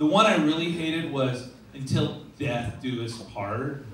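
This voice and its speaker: Audible room echo and light background noise surround a man speaking in an animated tone. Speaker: stand-up comedian. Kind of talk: stand-up comedy. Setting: stage with audience. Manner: animated, punchy joke delivery with pauses for laughs. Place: stage. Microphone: camera far.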